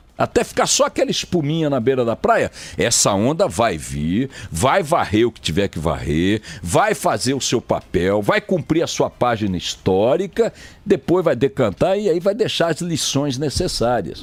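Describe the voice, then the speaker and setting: This man talks at a fairly slow pace with vocal fry and very wide pitch swings. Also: medium pitch for a man. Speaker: radio news anchor. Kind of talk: radio news commentary, opinionated on-air talk.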